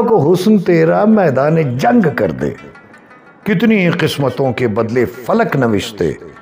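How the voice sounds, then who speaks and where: Faint music sits in the background. A man is speaking. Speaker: poetry reciter. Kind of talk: poetry reading. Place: home room. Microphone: lapel.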